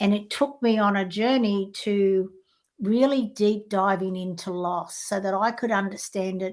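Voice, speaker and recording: At a fairly slow pace, a woman speaks with fairly even intonation on a very clean recording with a silent background. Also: medium pitch for a woman. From Australia. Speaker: life coach. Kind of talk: interview.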